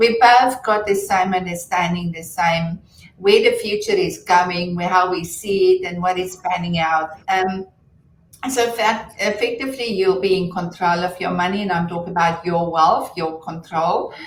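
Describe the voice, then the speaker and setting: With a South African accent, a woman speaks at a moderate pace and a medium pitch. Her voice is somewhat breathy, with fairly even intonation. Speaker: fintech entrepreneur. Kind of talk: interview.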